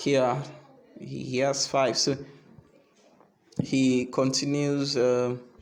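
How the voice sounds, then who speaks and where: Speaking at a very slow pace with long, frequent pauses, a man with a non-native accent keeps a medium pitch and a monotone, flat intonation. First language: not English. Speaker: chess teacher. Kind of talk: game review. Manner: halting.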